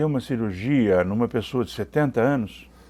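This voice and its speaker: Very wide pitch swings from a male speaker, captured on a very clean recording against a silent background. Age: 60s. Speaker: interviewer. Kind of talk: interview.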